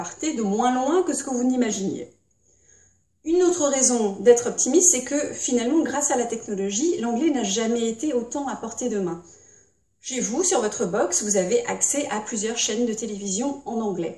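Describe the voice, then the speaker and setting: A woman with a high-pitched, dark, mellow voice speaks at a moderate pace with lively intonation. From Britain. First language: English (speaking French). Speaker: English teacher. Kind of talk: tutorial.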